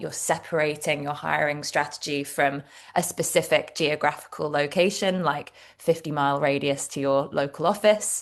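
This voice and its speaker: A woman with a British accent and a very deep, low pitch, fairly slow in pace, against a quiet background. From England, Devon. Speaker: HR director. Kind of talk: interview.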